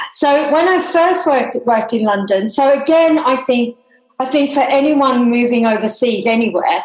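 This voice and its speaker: A woman speaks at a moderate pace in a high voice, with lively intonation and a slight Australian accent. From Tasmania, Australia. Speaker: hairdresser. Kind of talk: casual chat.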